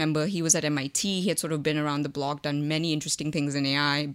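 Talking at a very fast pace, a woman has a very deep, low pitch. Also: very clean recording, silent background. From India. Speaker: machine learning professor. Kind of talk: interview. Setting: conference.

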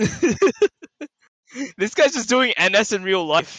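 A man's raised, projected voice with an American accent, bright and sharp in tone, with very wide pitch swings. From US South. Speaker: podcast host. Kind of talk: casual chat. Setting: online voice chat.

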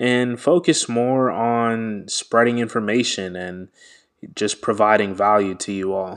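In a plain, everyday voice, a man with an American accent speaks at a fairly slow pace with fairly even intonation, on a very clean recording with a silent background. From US (Washington, D.C.), Nigerian American. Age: 20s. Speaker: podcast host, law graduate. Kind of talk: solo podcast introduction. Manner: casual, many fillers.

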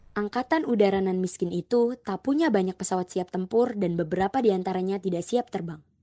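With music in the background and a dry, close sound with no echo, a woman talks at a very fast pace in a medium pitch with hardly any pauses. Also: ordinary pitch variation. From Jakarta. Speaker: podcast co-host. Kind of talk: scripted history narration with banter. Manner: casual, upbeat.

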